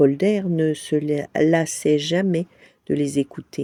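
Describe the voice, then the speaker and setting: A woman's very deep, low voice, gentle and dark, mellow in tone, with ordinary pitch variation and a dry, close sound free of echo. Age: old. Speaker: storyteller. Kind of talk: bedtime story reading.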